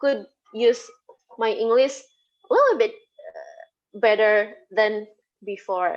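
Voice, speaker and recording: A woman with an Indonesian accent speaks at a very slow pace. Her pitch is fairly high. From Indonesia (Sundanese, West Java). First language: Sundanese. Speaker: lecturer. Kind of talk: interview. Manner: halting.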